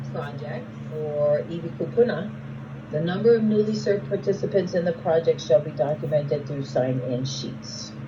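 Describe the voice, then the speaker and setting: The speaker goes at a fairly slow pace amid noticeable background noise. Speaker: grant program trainer. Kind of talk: work meeting training.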